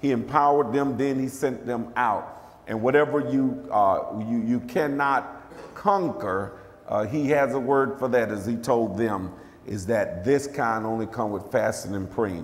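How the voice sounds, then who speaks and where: Pitch variation is ordinary as a man talks at a fairly slow pace. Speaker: preacher. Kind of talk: sermon. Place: church. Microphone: podium.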